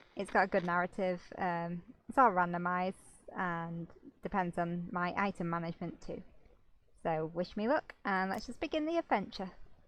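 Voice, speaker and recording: Woman with a British accent at a moderate pace, ordinary pitch variation, quiet background. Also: medium pitch for a woman. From Britain. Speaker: gaming YouTuber and streamer. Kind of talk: casual let's play commentary. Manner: hesitant, with many fillers.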